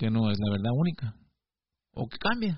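A somewhat breathy man with very wide pitch swings. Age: 40s. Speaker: video blogger. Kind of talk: reflective monologue. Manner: halting, with frequent repetitions.

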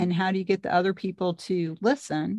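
At a fairly quick pace, a woman with a fairly low pitch speaks in a slightly mellow tone with fairly even intonation.

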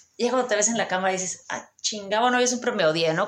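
With a Mexican accent, a woman speaks in an animated tone with lively intonation. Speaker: podcast host. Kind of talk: casual interview chat.

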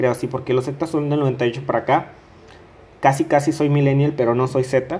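A man's somewhat breathy voice at a moderate pace, with monotone, flat intonation. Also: medium pitch for a man. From Mexico, Coahuila. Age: 20s. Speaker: podcaster. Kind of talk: casual monologue.

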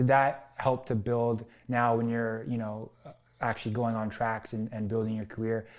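A man with a plain, everyday voice speaks at a fairly quick pace and a medium pitch, on a very clean recording with a silent background. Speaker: podcast host. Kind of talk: casual interview.

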